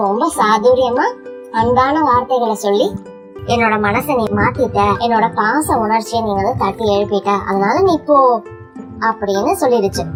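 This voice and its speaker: With music playing in the background, a woman speaks at a fairly high pitch with ordinary pitch variation. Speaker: storyteller. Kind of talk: bedtime story for children. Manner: calm, soothing.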